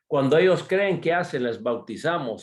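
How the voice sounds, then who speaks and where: With a normal speaking voice, a man speaks at a fairly high pitch with lively intonation over a quiet background. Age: 60s. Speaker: missionary speaker. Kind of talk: sermon.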